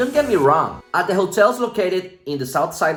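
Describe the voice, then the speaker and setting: In a Spanish accent, a man speaks with a high pitch. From Venezuela. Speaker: vlogger. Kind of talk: opinion vlog monologue.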